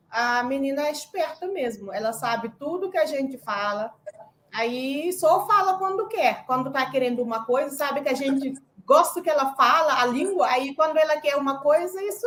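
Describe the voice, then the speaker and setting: Lively intonation in a woman's high-pitched voice. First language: Senegalese language and French (speaking Portuguese). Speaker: conference panelist, immigrant parent. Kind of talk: panel discussion.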